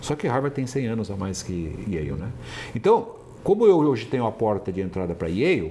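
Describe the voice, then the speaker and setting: Vocal fry and very wide pitch swings mark this voice, which moves at a moderate pace. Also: man. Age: 60s. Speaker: entrepreneur and business founder. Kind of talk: interview. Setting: company office in Manaus.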